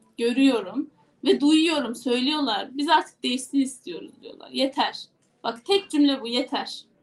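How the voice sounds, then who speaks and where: A woman speaks fairly slowly in a high pitch. Her intonation is lively, and her loudness swings widely. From Turkey, Yozgat. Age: 20s. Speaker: parliamentary candidate and lawyer. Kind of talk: interview. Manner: energetic.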